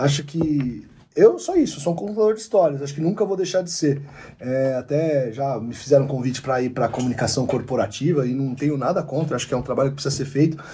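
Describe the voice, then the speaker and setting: A man talks at a very fast pace in a dark, mellow, somewhat breathy tone. His pitch is fairly high, with ordinary pitch variation. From Ribeirão Preto, São Paulo state, Brazil. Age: 30s. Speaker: sports journalist. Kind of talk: casual chat.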